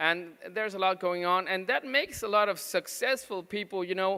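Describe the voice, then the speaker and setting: On a very clean recording with a silent background, a man with a high pitch and a bright, sharp tone uses a raised, projected voice at a moderate pace with ordinary pitch variation. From Mexico. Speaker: pediatric nutrition doctor. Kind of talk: conference talk. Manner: halting, many fillers.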